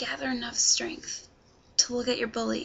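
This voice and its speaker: Whispering, a woman speaks at a fairly slow pace. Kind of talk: scripted personal message to camera.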